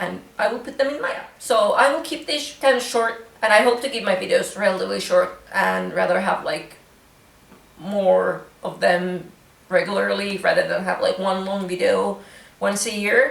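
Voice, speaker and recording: A woman with a Finnish accent is heard with audible room echo and noticeable background noise. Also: moderate pace. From Finland. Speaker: craft vlogger. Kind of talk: casual vlog chat. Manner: casual, hesitant with fillers.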